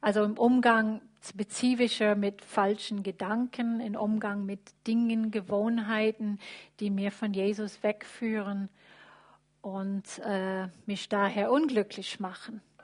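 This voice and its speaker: Against a quiet background, a woman with an English accent speaks very slowly in a fairly high, somewhat breathy voice with monotone, flat intonation. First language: English (speaking German). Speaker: church member sharing faith story. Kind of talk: testimony. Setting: church service with livestream. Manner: halting, many fillers.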